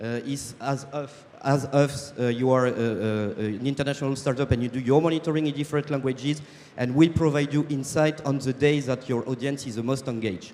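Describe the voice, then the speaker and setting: Speaking with a French accent, a man talks at a fairly quick pace in a fairly high pitch with fairly even intonation. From France. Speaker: startup co-founder. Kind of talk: sales pitch. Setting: stage with audience. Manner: halting, many fillers.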